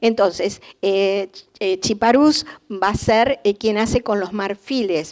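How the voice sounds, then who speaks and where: At a very slow pace, the speech has ordinary pitch variation. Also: woman. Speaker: art historian lecturer. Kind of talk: lecture.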